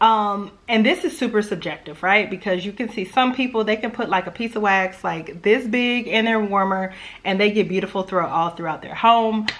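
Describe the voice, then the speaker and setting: A woman with a Louisiana accent speaks at a medium pitch. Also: ordinary pitch variation, moderate pace, hardly any pauses. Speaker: home fragrance YouTuber. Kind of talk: casual vlog talk. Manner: chatty, conversational.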